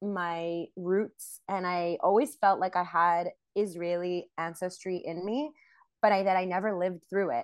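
A woman with an ordinary speaking voice, medium pitch and fairly slow pace, over a quiet background. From Montreal, Canada. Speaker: singer and actress. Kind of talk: casual interview. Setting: video call.

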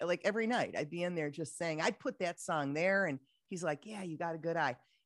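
A woman speaks in a fairly low voice with a Midwestern accent. The recording is very clean, with a silent background. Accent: Midwest US. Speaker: radio host. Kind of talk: casual interview chat.

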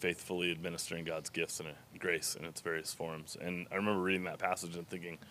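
A man's very deep, low voice, bright and sharp in tone, monotone and flat at a very fast pace. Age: 40s. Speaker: pastor. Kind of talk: casual chat.

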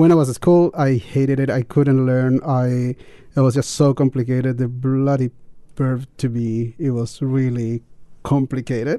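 Speaking at a moderate pace with a Chilean accent, a man with a medium pitch and a dark, mellow tone keeps his intonation monotone and flat. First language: Spanish. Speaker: teacher, guest. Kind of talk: casual radio chat. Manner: halting.

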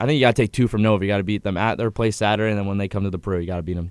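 A man talking very fast at a fairly low pitch, in a very clean recording with a silent background and a dry, close sound with no echo. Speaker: sports podcast co-host. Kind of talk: casual chat.

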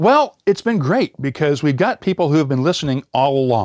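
Here a man with an American accent talks at a moderate pace. His pitch is fairly high, and the sound is dry and close with no echo. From US Midwest, Indiana. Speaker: podcast host and former radio reporter. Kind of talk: interview. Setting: online call.

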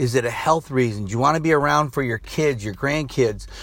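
Speaking at a fairly quick pace, a man with a medium pitch sounds somewhat breathy and uses lively intonation. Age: 60s. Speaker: motivational coach and podcast host. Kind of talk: motivational monologue. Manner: rambling, conversational with fillers.

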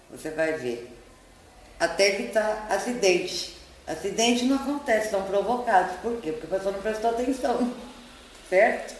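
At a moderate pace but with long, frequent pauses, a woman speaks at a fairly high pitch with ordinary pitch variation, amid noticeable background noise and audible room echo. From São Paulo, Brazil. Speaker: psychologist and hypnotherapist. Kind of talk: interview.

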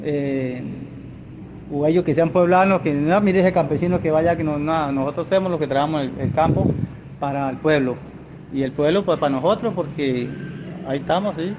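A man with a fairly high pitch and ordinary pitch variation speaks at a moderate pace. He takes long, frequent pauses amid noticeable background noise. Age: 50s. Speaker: farmer. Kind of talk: casual interview. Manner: halting.

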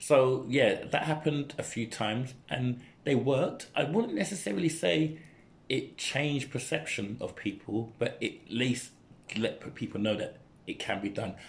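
A somewhat breathy male voice with lively intonation, in a London accent. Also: medium pitch for a man, moderate pace. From East London (Newham). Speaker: dancer and youth mentor. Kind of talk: casual chat.

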